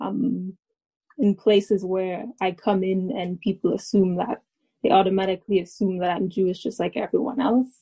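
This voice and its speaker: The woman's voice is somewhat breathy, and she keeps to a moderate pace. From Alberta, Canada. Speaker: university student. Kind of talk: panel discussion.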